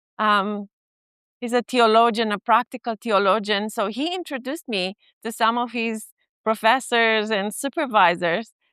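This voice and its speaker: Speaking with a Romanian accent, a woman uses a fairly high pitch, ordinary pitch variation and a bright, sharp tone at a moderate pace, in a very clean recording with a silent background and a dry, close sound with no echo. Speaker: family therapist and professor. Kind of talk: conference talk. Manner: hesitant, many fillers.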